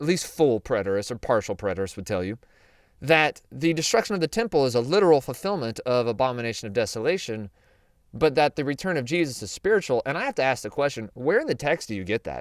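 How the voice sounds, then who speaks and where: Speaking very fast with a Southern US accent, a man has an animated tone, a medium pitch and very wide pitch swings. The recording is very clean and dry, close-sounding with no echo and a silent background. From US South. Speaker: Bible prophecy teacher. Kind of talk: Bible teaching. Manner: casual, animated.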